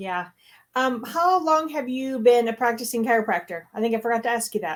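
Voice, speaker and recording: On a very clean recording with a silent background, a woman with an American accent uses a normal speaking voice, fairly high in pitch, with lively intonation at a fairly quick pace. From Michigan. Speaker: chiropractor. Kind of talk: casual interview chat.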